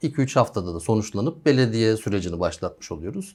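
A man speaks in a normal speaking voice at medium pitch. His intonation is lively and his pace is fairly quick. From Denizli, western Turkey. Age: 40s. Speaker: architect. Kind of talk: interview.

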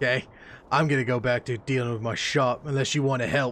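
Using a gruff, put-on character voice, a man with a medium pitch speaks very fast in a flat monotone. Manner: angry, gruff, cursing.

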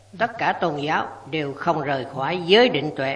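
Her pitch very deep and low, a woman speaks at a fairly slow pace. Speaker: voice-over narrator. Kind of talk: scripted narration.

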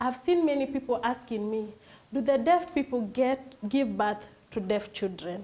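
A woman speaks at a high pitch with ordinary pitch variation. She talks at a very slow pace. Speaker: host. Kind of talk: interview introduction. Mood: warm, welcoming. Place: studio. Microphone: lapel.

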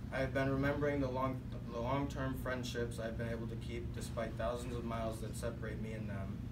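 Loud background noise behind a man speaking at a fairly quick pace. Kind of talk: prepared speech. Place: classroom. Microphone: camera far.

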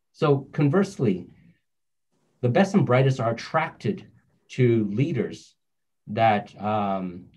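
Somewhat breathy and speaking at a fairly slow pace, a man with a Canadian accent and a medium pitch makes very wide pitch swings and big swings in loudness, with long, frequent pauses against a quiet background. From North Vancouver, Canada; British Columbia, Canada. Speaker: finance entrepreneur; panelist. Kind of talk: panel discussion. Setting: video call. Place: home room. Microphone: video call.

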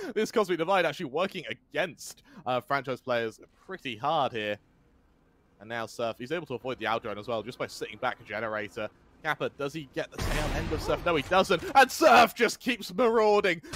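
A man with a fairly high voice talks at a fairly quick pace in an animated, energetic tone with very wide pitch swings. The sound is dry and close with no echo, though background noise is noticeable. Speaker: esports commentator. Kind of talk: live esports commentary. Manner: animated, excitable play-by-play; fast, energetic, building tension.

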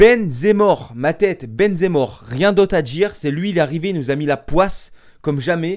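Loud and animated, a man speaks in a high pitch with lively intonation against a quiet background. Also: moderate pace. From France. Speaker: YouTuber and football fan. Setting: home video, alone at home. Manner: animated, loud, exasperated, ranting; over-the-top, theatrical, melodramatic. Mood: disappointed, ranting. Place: home room. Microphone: webcam.

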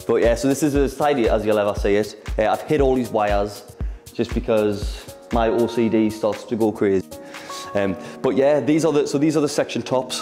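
A man's moderate-paced speech with ordinary pitch variation and very even loudness, faint music in the background. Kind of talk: casual tour talk. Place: shop.

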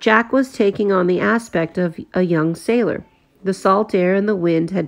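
With ordinary pitch variation, the speaker reads aloud in a natural voice.

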